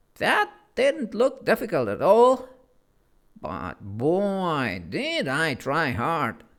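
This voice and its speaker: A man in a put-on character voice speaks at a high pitch and a very slow pace. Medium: read story. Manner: fussy, sulky, self-pitying.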